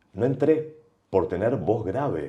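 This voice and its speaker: Vocal fry marks this man's dark, mellow voice. He speaks at a fairly slow pace. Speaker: broadcaster and voice teacher. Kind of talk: podcast interview. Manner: varied intonation.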